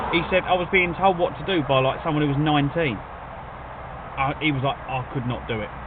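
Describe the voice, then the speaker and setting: Noticeable background noise sits behind a man with a southeast English accent. His pace is fairly quick and his intonation lively. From England. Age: 40s. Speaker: food delivery driver streamer. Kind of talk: casual live-stream chat.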